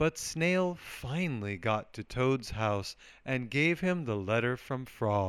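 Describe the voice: With lively intonation, the passage is given as plain reading aloud.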